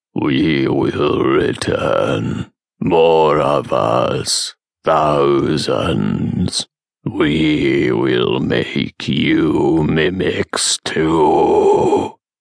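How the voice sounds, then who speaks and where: A raspy, put-on character voice from a man, delivered at a very slow pace. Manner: strange, bubbling, threatening.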